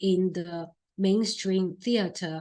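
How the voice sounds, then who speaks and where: A woman speaks very slowly in a Chinese accent. Her intonation stays monotone and flat. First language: Mandarin Chinese. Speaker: film critic and producer giving a talk. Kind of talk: lecture. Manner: halting, many fillers.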